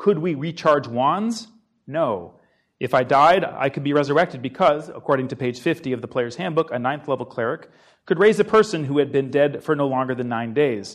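A man's normal speaking voice with an American accent, fairly high in pitch, lively in intonation, at a moderate pace. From New Hampshire, US. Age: 40s. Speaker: author. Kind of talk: talk with slides to a live audience. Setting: lecture room with live audience, webcast.

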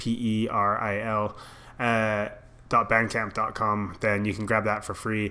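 Very slowly, a man speaks at a medium pitch. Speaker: music podcast host. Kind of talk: casual chat.

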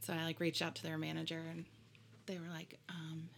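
This woman speaks with an American accent and a very deep, low pitch. Vocal fry runs through her voice. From US Midwest (Indiana). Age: 30s. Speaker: wedding music provider. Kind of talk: casual chat.

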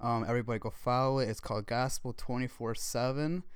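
On a very clean recording with a silent background, a man speaks at a fairly quick pace with fairly even intonation. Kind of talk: casual faith discussion.

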